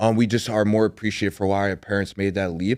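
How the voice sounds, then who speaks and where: A man with a fairly low pitch speaks at a very fast pace on a very clean recording with a silent background. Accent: Chicago. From Chicago. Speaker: podcast host, sports journalist. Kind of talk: casual interview chat. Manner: animated.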